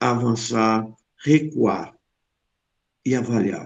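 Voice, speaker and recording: A man's intonation stays fairly even. He talks very slowly. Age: 70s. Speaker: psychologist. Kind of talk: reading own philosophical text.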